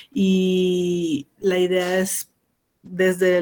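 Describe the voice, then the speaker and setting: A woman's medium-pitched voice with an Ecuadorian accent. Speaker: geographer, activist collective member. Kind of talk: radio interview.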